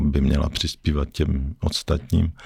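A man with a very deep, low voice speaks at a fairly slow pace. Noticeable background noise can be heard. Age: 50s. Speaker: investor and former banker. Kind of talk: casual interview. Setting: studio.

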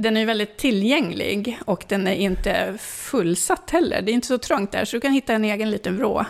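Using a normal speaking voice, a woman talks at a moderate pace with a fairly high pitch, ordinary pitch variation, very even loudness and hardly any pauses. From northern Sweden, Sollefteå. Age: 50s. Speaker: local politician. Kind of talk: interview.

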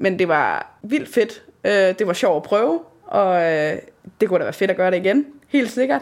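A woman with an unremarkable speaking voice at medium pitch, talking at a fairly slow pace with lively intonation. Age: 20s. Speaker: amateur theatre actor. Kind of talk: casual interview.

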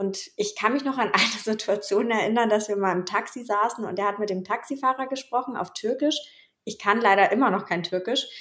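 This woman talks at a fairly quick pace in a fairly high voice. Her pitch varies in an ordinary way. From Bavaria, Germany. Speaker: podcast co-host. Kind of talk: casual interview chat.

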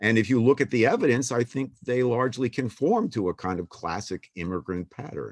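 A man with an American accent talks fairly quickly with hardly any pauses, at a medium pitch with ordinary variation, in a dry, close sound without echo. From US Northeast, Boston. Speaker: political science professor. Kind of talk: interview. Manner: halting, many fillers and repetitions.

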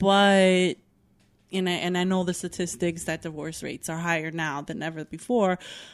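A woman's fairly low voice, a plain, everyday voice, at a moderate pace with fairly even intonation. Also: very clean recording, silent background. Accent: American. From New York (Bronx, Yonkers, Newburgh). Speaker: bartender. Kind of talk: casual chat.

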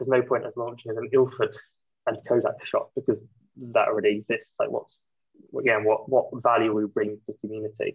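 A man with a Yorkshire accent talks at a fairly quick pace. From Yorkshire, England. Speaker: film photography shop owner. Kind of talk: casual interview chat.

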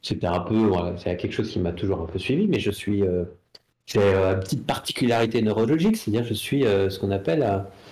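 A man speaks in a dark, mellow tone that is somewhat breathy, at a fairly low pitch. His pace is fairly quick, and his pitch variation is ordinary. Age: 40s. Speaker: comic book artist. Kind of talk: casual interview chat. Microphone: too far from the mic at first.

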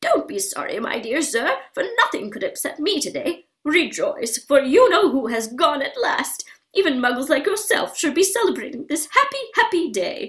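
A squeaky, put-on character voice from a woman, extremely high in pitch with very wide pitch swings, at a moderate pace with hardly any pauses. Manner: cheerful, jubilant.

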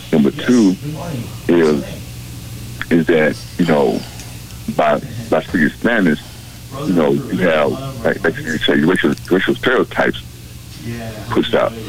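Speaking at a fairly slow pace with long, frequent pauses, a man with a very deep, low pitch swings widely in pitch while keeping his loudness very even, over noticeable background noise. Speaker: caller. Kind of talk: call-in talk show. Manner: halting.

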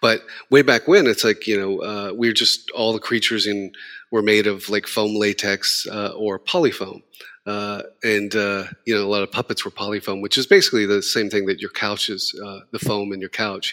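A man's fairly low voice with an American accent, bright, sharp tone and fairly even intonation at a moderate pace, on a very clean, dry, close recording with no echo and a silent background. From Texas. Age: 50s. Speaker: makeup and creature effects artist. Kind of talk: interview.

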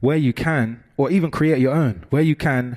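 Here is an ordinary speaking voice: a man at a moderate pace with ordinary pitch variation. The recording is very clean, with a silent background. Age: 20s. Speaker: youth worker. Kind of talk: talk at a conference.

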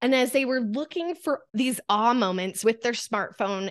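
A woman with an American accent and a normal speaking voice talks at a moderate pace with ordinary pitch variation, the sound dry and close with no echo. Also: quiet background. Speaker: coach and photographer. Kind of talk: casual interview chat.

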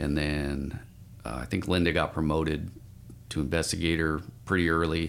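With vocal fry and a very deep, low pitch, a man speaks with fairly even intonation and long, frequent pauses. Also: moderate pace. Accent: American. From Spokane, Washington, US. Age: 50s. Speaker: firefighter. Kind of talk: interview.

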